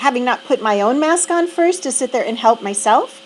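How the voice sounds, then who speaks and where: A woman's high, lively voice at a moderate pace, over noticeable background noise. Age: 60s. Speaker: reflection vlogger. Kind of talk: personal reflection monologue. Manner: halting, with fillers.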